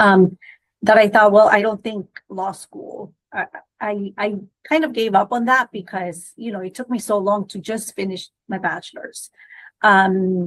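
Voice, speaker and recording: A woman with a Spanish accent speaks at a medium pitch. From Guatemala. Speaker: immigration lawyer. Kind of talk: podcast interview. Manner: hesitant, many fillers and restarts.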